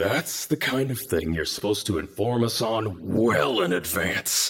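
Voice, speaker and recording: A man puts on a character voice. His pitch is fairly low. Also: moderate pace. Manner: hissed, annoyed.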